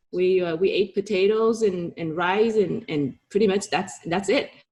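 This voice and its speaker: A woman with a Vietnamese accent talks at a moderate pace and medium pitch, with ordinary pitch variation. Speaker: realtor and entrepreneur. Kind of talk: interview.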